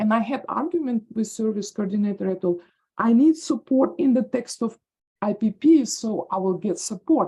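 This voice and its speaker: A woman speaks in a Russian accent with a fairly high pitch. Her tone is dark and mellow. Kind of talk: audience question. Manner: halting.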